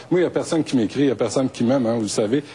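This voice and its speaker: Noticeable noise sits in the background. A man talks over it. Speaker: radio host. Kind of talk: debate moderation.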